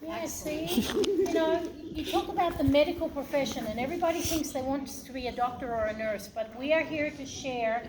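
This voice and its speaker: Amid audible room echo and noticeable background noise, a woman with an Australian accent speaks at a moderate pace with lively intonation. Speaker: hospital laboratory director. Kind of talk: presentation to students.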